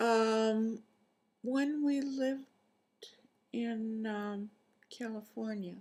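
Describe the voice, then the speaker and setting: Pausing long and often, a woman speaks in a somewhat breathy voice with a fairly high pitch and fairly even intonation. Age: 80s+. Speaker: retired medical doctor. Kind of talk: interview answer.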